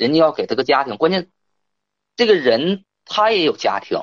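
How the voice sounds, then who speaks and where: Very wide swings in pitch at a moderate pace. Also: man. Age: 30s. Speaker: caller. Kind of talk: phone-in advice call. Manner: halting.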